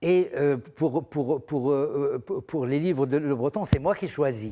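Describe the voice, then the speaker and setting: A man with a fairly high pitch and a dark, mellow tone speaks at a very slow pace. His pitch variation is ordinary. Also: very clean recording, silent background. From Morocco, rural area near Fez. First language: Moroccan Arabic (Darija) (speaking French). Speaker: art critic and writer, translator. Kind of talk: TV interview. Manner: halting, many hesitations and repetitions.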